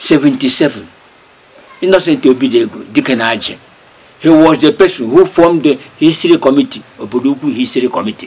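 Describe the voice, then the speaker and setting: Against noticeable background noise, a man with a Nigerian accent talks at a fairly quick pace with lively intonation. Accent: Nigerian Igbo English. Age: 80s+. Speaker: local historian, community elder. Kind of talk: oral history interview. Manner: halting, many hesitations.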